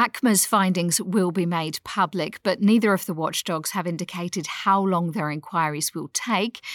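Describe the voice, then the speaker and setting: Upbeat in tone, a voice with an Australian accent runs with hardly any pauses in a dry, close sound with no echo. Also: woman, medium pitch for a woman, ordinary pitch variation, moderate pace, very clean recording, silent background. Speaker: news podcast co-host. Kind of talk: newsreading, a polished morning news briefing, fluent and conversational. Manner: clear, brisk and upbeat.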